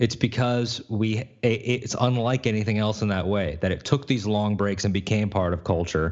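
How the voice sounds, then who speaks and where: A man with an ordinary speaking voice and a fairly low pitch talks at a moderate pace with ordinary pitch variation and hardly any pauses. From Connecticut, US, of Puerto Rican family. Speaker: podcast host. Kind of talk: casual chat. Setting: video call.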